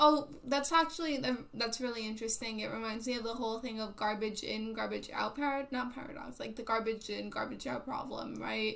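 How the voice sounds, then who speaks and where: With hardly any pauses, a woman talks at a fairly quick pace and fairly high pitch, varying it in an ordinary way, amid noticeable background noise and audible room echo. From Puerto Rico. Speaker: live streamer. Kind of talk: casual live stream chat. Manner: loud; casual, filler-heavy.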